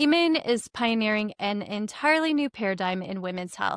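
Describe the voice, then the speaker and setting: A woman with a plain, everyday voice speaks in an American accent at a moderate pace with lively intonation. The recording is very clean and silent in the background, with a dry, close sound and no echo. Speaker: podcast host. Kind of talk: scripted introduction.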